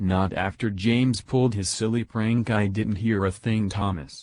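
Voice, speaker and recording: Someone delivers a put-on character voice at a moderate pace. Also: man, fairly low pitch for a man. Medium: machinima. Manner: nervous, eager.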